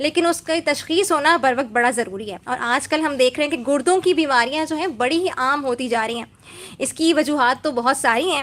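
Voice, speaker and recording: Her voice is high-pitched for a woman. The recording is very clean, with a silent background. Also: ordinary pitch variation. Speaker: radio host. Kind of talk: radio show interview host.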